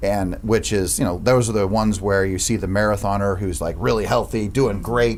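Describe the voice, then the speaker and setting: Noticeable background noise and audible room echo accompany fairly quick speech with hardly any pauses. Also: man, fairly low pitch for a man, ordinary pitch variation. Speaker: real estate franchise owner. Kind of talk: podcast interview. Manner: loud.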